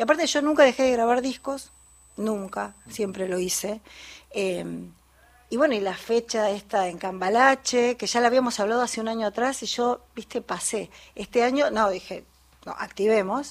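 At a moderate pace, a woman uses a normal speaking voice that is fairly high in pitch, with ordinary pitch variation. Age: 50s. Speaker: folk singer and music teacher. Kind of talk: radio interview.

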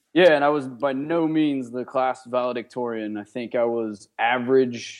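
A man speaks at a medium pitch in a plain, everyday voice. His pace is moderate and his intonation fairly even. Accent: American. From western Pennsylvania (Johnstown, near Pittsburgh). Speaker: army officer and entrepreneur. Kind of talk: interview. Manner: casual, with frequent fillers.

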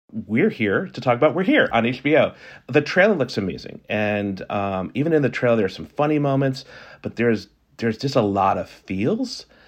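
With an American accent, a man in a plain, everyday voice talks at a medium pitch and moderate pace, using lively intonation over a quiet background. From US South (New Orleans, South Carolina). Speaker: podcast host. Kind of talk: interview. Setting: video call.

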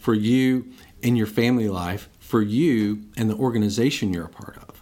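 A man speaks in a normal speaking voice with a fairly low pitch. His pace is fairly slow and his intonation fairly even. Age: 50s. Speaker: pastor. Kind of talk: casual interview.

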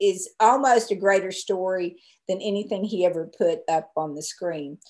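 A woman talks at a fairly slow pace, medium in pitch with ordinary pitch variation. It is a plain, everyday voice. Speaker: film rights owner and director's daughter. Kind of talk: interview.

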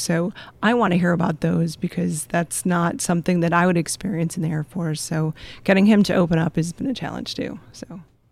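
A woman uses a plain, everyday voice at a fairly quick pace. Her pitch is fairly low and her intonation fairly even. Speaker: air force veteran. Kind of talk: panel discussion.

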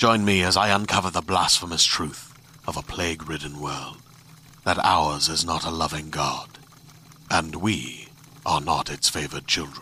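A man's put-on character voice, extremely low in pitch, with a bright, sharp tone, fairly even intonation and a fairly slow pace

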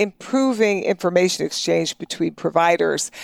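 A woman speaks at medium pitch and a moderate pace in a normal speaking voice. The sound is dry and close, with no echo. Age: 60s. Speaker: health economist, professor. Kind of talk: interview. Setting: in-person office interview.

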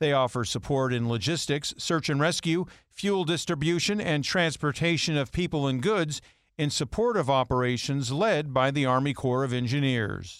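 In a very clean recording with a silent background, a man with a fairly high pitch and ordinary pitch variation speaks at a moderate pace in an ordinary speaking voice. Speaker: news anchor. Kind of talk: news reading. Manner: formal, steady, brisk.

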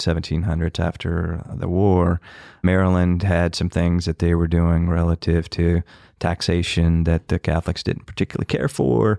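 The voice has a dark, mellow tone and monotone, flat intonation at a moderate pace, with a dry, close sound and no echo. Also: man. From Kentucky. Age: 50s. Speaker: distillery founder. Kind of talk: interview.

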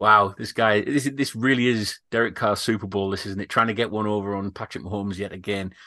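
With an English accent, a man speaks fairly quickly with hardly any pauses, his pitch fairly low, his tone bright and sharp, and his intonation fairly even against a quiet background. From Britain. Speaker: podcast host. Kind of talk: casual chat.

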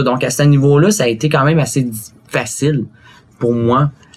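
A man talks at a fairly quick pace in a somewhat breathy, fairly high voice with ordinary pitch variation. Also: long, frequent pauses, very even loudness. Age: 20s. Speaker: interview guest. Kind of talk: interview.

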